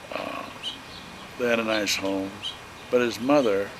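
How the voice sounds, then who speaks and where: At a fairly slow pace, a man speaks amid noticeable background noise and audible room echo. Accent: Midwestern US. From Illinois. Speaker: elderly relative interviewed. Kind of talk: family reminiscence interview. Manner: halting.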